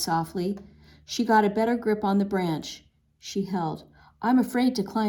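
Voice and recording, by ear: The text is read aloud in a natural voice. Pitch moves up and down normally.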